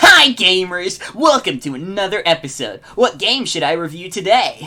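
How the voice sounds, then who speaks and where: Putting on a character voice, a man speaks high for a man at a moderate pace, with very wide pitch swings. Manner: put-on, exaggerated.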